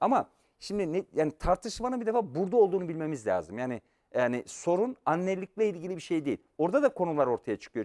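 Over a quiet background, a man talks at a very fast pace in a high voice with very wide pitch swings. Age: 50s. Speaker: professor. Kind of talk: lecture. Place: studio. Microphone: lapel.

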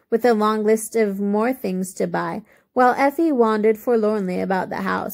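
Plain reading aloud is delivered here with ordinary pitch variation.

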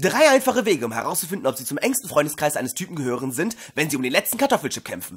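Putting on a character voice, a man speaks fast with a fairly high pitch and big pitch swings. His tone is fairly bright, with a slightly husky edge.

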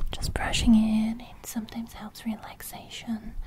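Someone whispers at a very slow pace. There is noticeable background noise. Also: woman. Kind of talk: soft-spoken ASMR roleplay. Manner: soothing close whisper. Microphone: studio mic.

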